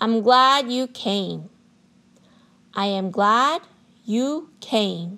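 In a bright, sharp tone, a woman with a fairly high pitch and lively intonation speaks at a very slow pace, leaving long, frequent pauses. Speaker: English pattern narrator. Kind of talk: language drill reading. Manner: slow, clearly enunciated.

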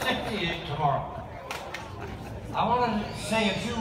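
A man's voice at a moderate pace, with audible room echo and noticeable background noise. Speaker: honorary lieutenant general presiding over a ceremony. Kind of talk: ceremonial address. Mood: warm, celebratory. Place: street.

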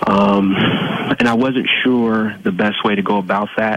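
Recorded with a dry sound and no echo, a man talks at a fairly slow pace with ordinary pitch variation. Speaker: radio call-in listener. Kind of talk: caller asking advice. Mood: polite, slightly unsure. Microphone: phone line.

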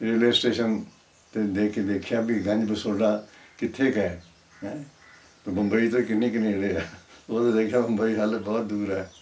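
A man's fairly low voice with monotone, flat intonation. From Punjab, India. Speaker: writer and painter. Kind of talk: interview answer. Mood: relaxed, smiling. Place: home room.

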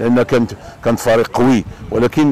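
A man talks with fairly even intonation. The sound is dry with no echo. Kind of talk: interview answer. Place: waterside. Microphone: lapel.

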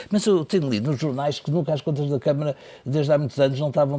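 At a very fast pace, a man talks with medium pitch and ordinary pitch variation. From Portugal. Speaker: political commentator and journalist; political commentator, journalist. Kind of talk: panel discussion. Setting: studio. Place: studio. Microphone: lapel.

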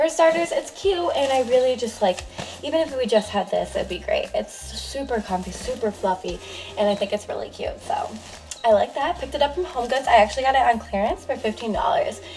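Faint music plays behind a woman who speaks at a fairly quick pace. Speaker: first-time vlogger. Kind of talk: casual vlog chat. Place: home room. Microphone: camera far.

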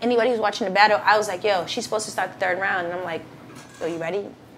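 Noticeable noise sits in the background. Over it, a woman talks very rapidly. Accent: American. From Boston. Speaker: battle rapper. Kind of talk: casual interview chat.

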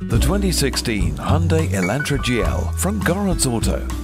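Music plays in the background as a man speaks in a very deep, low pitch. His pitch swings very widely. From United Kingdom. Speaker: voice actor. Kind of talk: car dealership commercial narration.

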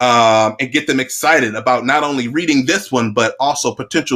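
What we hear is a natural reading voice. The words come out in that natural reading manner.

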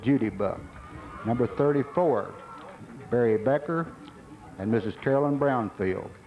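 A man's voice at a fairly slow pace, with ordinary pitch variation and faint music in the background. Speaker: stadium announcer. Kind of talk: public address announcement. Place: stadium.

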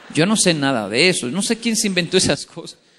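A man with a high pitch speaks at a moderate pace in an animated tone with lively intonation. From Colombia and Japan. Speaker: motivational speaker. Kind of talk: motivational talk. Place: hall. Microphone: podium.

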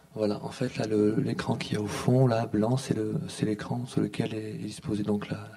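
A man's fairly low voice with fairly even intonation and a fairly slow pace, amid noticeable background noise and audible room echo. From southern France, Montpellier. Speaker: artist and filmmaker. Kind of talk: conference talk. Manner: halting.

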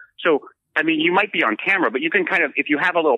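A man with a fairly high pitch talks at a very fast pace with vocal fry. His pitch swings very widely. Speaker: political field reporter. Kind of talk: casual chat. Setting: remote call.

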